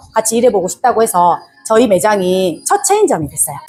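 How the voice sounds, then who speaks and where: With music in the background, a woman talks at a fairly quick pace, her fairly high pitch swinging very widely. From Jeolla, South Korea. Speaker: small business owner. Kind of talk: interview.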